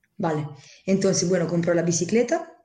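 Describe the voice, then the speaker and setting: Audible room echo surrounds a woman speaking with a dark, mellow tone at a fairly low pitch. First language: Italian (speaking Spanish). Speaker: interpreter and association member. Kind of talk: interview.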